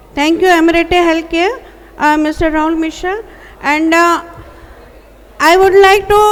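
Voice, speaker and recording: Over noticeable background noise, a woman speaks in a flat monotone. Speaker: event anchor. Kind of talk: event announcements.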